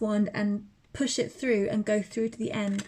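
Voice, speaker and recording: A woman's somewhat breathy voice, fairly high in pitch, at a moderate pace. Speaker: tarot reader. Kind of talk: tarot reading to camera.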